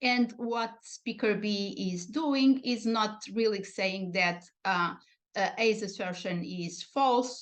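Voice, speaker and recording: Speaking at a very slow pace with hardly any pauses, a woman with a Portuguese accent shows ordinary pitch variation. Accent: European Portuguese accent in English. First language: European Portuguese. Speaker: linguistics researcher. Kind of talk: academic lecture. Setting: online video broadcast. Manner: hesitant, many fillers.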